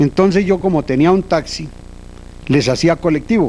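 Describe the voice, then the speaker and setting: Fairly slow in pace, the talking shows normal movement in pitch. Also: man. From Colombia, Boyacá countryside. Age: 60s. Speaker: transport cooperative founder. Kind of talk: interview, personal reminiscence.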